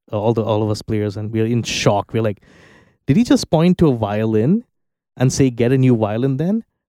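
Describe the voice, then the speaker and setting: A man speaks in a dark, mellow tone at a medium pitch and moderate pace, with ordinary pitch variation. The sound is dry and close with no echo, on a very clean recording with a silent background. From India, Bangalore. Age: 30s. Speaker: musician and audio engineer. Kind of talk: casual interview. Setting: recording studio.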